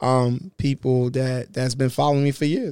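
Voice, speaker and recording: The tone is dark and mellow, with monotone, flat intonation. Speech comes at a fairly quick pace in a dry, close sound with no echo. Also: man. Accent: New York. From Brooklyn, New York. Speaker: internet prankster and comedian. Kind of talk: casual interview chat. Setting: studio.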